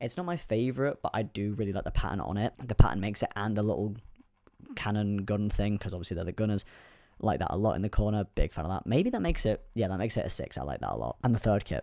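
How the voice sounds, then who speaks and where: Over a very clean recording with a silent background, a man with a fairly low pitch and a dark, mellow tone speaks at a very fast pace with vocal fry and ordinary pitch variation. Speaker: youtuber. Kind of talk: casual vlog commentary. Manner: soft-spoken.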